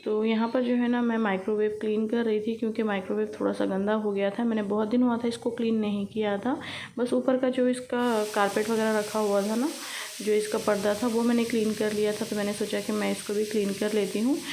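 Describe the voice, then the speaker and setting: A woman with a fairly high pitch speaks at a moderate pace, her intonation fairly even and her loudness very even. Room echo is audible, along with noticeable background noise. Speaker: home vlogger. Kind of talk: vlog voice-over.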